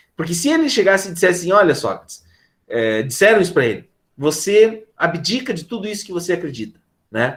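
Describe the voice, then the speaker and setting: Pitched high, a man speaks at a fairly quick pace with very wide pitch swings. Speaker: philosophy teacher. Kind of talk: online class lecture.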